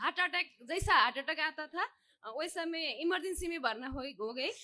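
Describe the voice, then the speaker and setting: A woman's raised, projected voice at extremely high pitch, with lively intonation. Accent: Nepali. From Nepal. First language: Nepali (speaking Hindi). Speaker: devotee seeking healing. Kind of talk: testimony. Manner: halting, hesitant.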